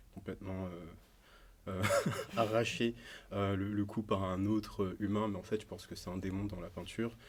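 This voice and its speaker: Speaking at a moderate pace, a man uses a fairly low pitch and fairly even intonation, with long, frequent pauses. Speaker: musician and illustrator. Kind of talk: podcast interview. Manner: halting, many filler sounds.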